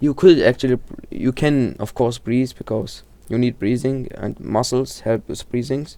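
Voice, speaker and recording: A man's dark, mellow tone at medium pitch, fairly even intonation and a fairly slow pace. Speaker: horror video explainer. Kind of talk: casual video commentary. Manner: halting, many self-corrections.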